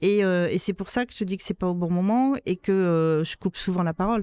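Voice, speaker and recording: At a fairly quick pace, a woman talks with a dark, mellow tone and ordinary pitch variation, her sound dry and close with no echo. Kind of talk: interview. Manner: loud; interrupts often.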